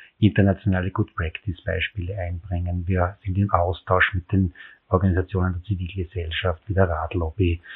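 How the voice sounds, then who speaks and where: A man talks with monotone, flat intonation. His pitch is very deep and low. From rural Styria, Austria (near Graz). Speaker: city cycling official. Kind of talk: interview.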